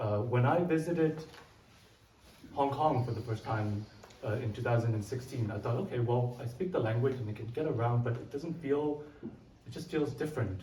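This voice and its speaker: There is audible room echo and noticeable background noise. A man at medium pitch speaks at a moderate pace with ordinary pitch variation. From Canada (born in Vietnam, moved at seven). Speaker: artist. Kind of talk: artist talk.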